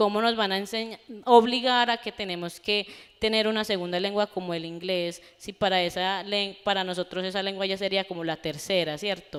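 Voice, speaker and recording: A woman talks with fairly even intonation, a medium pitch and a moderate pace. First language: Gunadule (speaking Spanish). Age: young. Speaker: university student panelist. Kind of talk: panel discussion.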